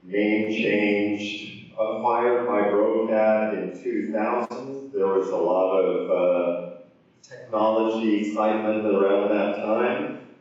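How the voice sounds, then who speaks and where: Over noticeable background noise and audible room echo, a man speaks at a very slow pace and a fairly low pitch with monotone, flat intonation. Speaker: conference speaker, software engineer. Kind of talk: conference talk.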